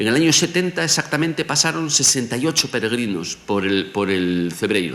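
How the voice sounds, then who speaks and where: There is noticeable background noise as a man speaks at a moderate pace with very wide pitch swings. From Galicia, Spain (Vigo). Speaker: professor. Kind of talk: lecture.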